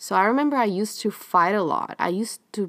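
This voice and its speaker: This woman's voice sits at a medium pitch and moves with ordinary pitch variation. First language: Spanish. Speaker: podcast host. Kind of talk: casual monologue.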